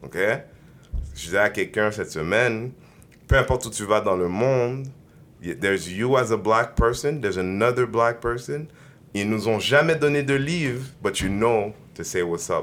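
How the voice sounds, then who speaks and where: Long, frequent pauses break up a man's speech at a medium pitch. His intonation is lively. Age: 30s. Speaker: podcast host. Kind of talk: casual chat.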